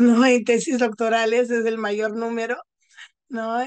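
A woman at a fairly high pitch and fairly slow pace, in a quiet background. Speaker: psychologist; panelist. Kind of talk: talk; round-table academic talk. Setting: video call while traveling. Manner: unscripted. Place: home room. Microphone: earbuds.

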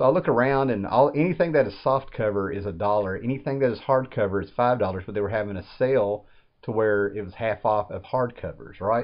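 The man's pitch is fairly low, with ordinary pitch variation. He keeps a fairly quick pace.

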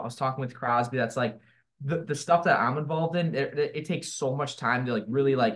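A man talks at a very fast pace with ordinary pitch variation. The background is quiet. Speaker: remote podcast guest, wrestling content creator. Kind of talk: interview answer. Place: home room. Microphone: video call.

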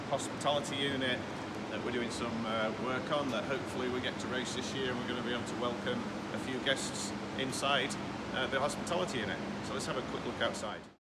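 The man's very fast pace cuts through loud background noise. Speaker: company host. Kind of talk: casual tour commentary. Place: garage. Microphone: phone near.

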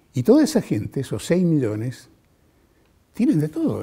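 Against a quiet background, a man speaks at a fairly slow pace in a dark, mellow tone. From Mendoza, Argentina. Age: 70s. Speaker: television journalist. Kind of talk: interview monologue. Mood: warm, reflective, engaged. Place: studio. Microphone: lapel.

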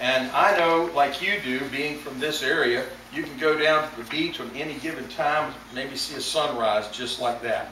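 Heard with audible room echo and light background noise, a man speaks at a moderate pace with ordinary pitch variation and big swings in loudness. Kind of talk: sermon. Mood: solemn, gentle. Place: church. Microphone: camera far.

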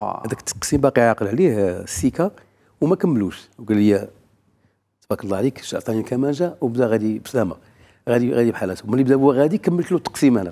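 A man's dark, mellow voice at a very fast pace against a quiet background. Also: lively intonation. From Morocco. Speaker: violinist; guest. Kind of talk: interview anecdote. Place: studio. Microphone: lapel.

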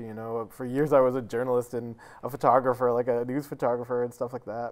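A man with an American accent at a very fast pace. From New Bedford, Massachusetts; Massachusetts. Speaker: ceramicist and poet; poet. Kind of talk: interview. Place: studio.

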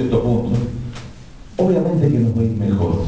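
Light background noise and audible room echo surround a man's speech. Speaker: candidate. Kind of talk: campaign speech. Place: hall. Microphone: podium.

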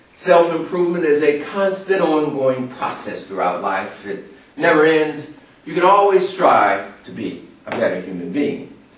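At a fairly slow pace, the voice moves through very wide pitch swings and big swings in loudness, with audible room echo and noticeable background noise. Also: man, fairly high pitch for a man. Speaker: motivational speaker. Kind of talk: motivational speech.

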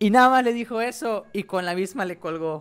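Faint background music behind a man's high-pitched voice with ordinary pitch variation. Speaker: streamer. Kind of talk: casual storytelling to stream chat. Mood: amused, laughing often. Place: home room. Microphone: studio mic.

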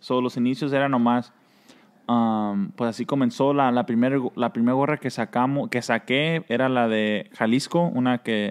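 Moderate pace and ordinary pitch variation from a man against a quiet background. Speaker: cap brand founder; guest. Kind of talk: casual interview. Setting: in a shop. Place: studio.

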